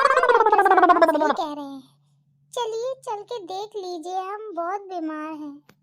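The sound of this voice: The cartoonish character voice moves at a moderate pace with lively intonation. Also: woman, extremely high pitch for a woman.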